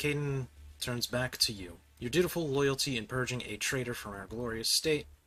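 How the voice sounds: The clip features a natural reading voice. It is a natural reading voice throughout.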